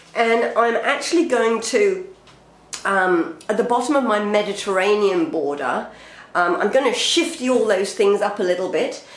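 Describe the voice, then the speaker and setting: A woman's pitch swings very widely while her loudness stays very even. Noticeable background noise can be heard. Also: moderate pace. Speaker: urban gardener. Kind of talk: casual talk to camera.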